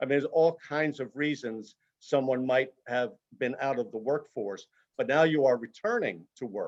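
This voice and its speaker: Delivered at a moderate pace with ordinary pitch variation, this is an unremarkable speaking voice. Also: man. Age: 60s. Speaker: career transition consultant. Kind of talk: webinar presentation. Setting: video call.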